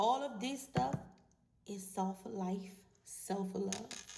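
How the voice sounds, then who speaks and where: A woman's somewhat breathy, dark and mellow voice at a medium pitch, with ordinary pitch variation, a very slow pace and audible room echo. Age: 40s. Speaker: vlogger. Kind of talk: casual monologue to camera.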